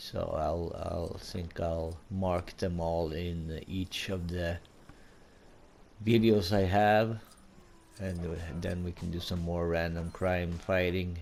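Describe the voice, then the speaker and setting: Very slow and broken by long, frequent pauses, a man speaks with a Swedish accent in a very deep, low pitch and a monotone, flat intonation. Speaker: gaming YouTuber. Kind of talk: gameplay commentary. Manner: halting.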